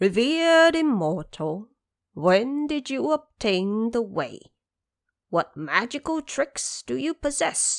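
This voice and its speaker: Using a put-on character voice, a woman speaks at a fairly high pitch and a fairly slow pace with very wide pitch swings. The recording is very clean, with a silent background. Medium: audio drama. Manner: courteous, formal.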